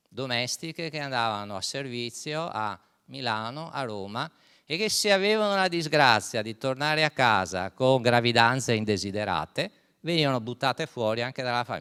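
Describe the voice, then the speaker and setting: A man with a bright, sharp tone and lively intonation talks at a moderate pace. The recording is very clean and dry, with a silent background, a close sound and no echo. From Venice, Italy. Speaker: historian. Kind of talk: lecture.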